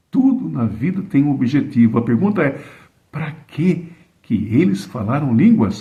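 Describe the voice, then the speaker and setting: Audible room echo surrounds a man's dark, mellow, somewhat breathy voice at fairly high pitch. He talks at a fairly slow pace with very wide pitch swings. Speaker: preacher. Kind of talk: sermon. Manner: slow, deliberate.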